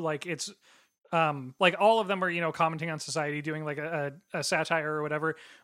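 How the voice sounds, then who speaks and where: Recorded very cleanly against a silent background, a man with an American accent has a bright, sharp tone. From US Pacific Northwest. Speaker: pop culture podcaster. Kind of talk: casual chat.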